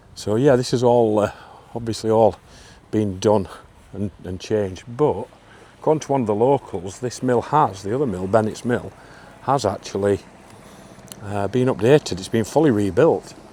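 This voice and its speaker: Against noticeable background noise, a man with a medium pitch talks at a moderate pace, showing ordinary pitch variation and long, frequent pauses. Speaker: travel vlogger. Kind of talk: casual vlog narration. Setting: outdoors.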